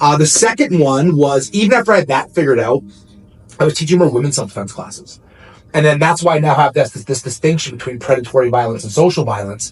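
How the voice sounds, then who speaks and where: A man talks at a very fast pace. His fairly high voice has lively intonation. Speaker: self-defense instructor. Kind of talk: casual interview chat. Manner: loud.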